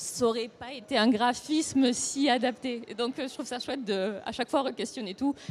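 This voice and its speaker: A woman talks at a moderate pace with a high pitch. She hardly pauses at all. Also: ordinary pitch variation. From France, Toulouse region. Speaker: comics author and illustrator. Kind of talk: panel discussion.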